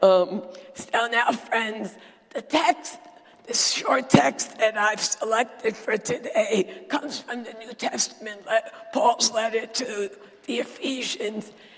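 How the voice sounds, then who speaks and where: Against noticeable background noise, a woman speaks at a fairly high pitch with lively intonation. Her pace is very slow, with big swings in loudness. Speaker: preacher. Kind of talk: sermon.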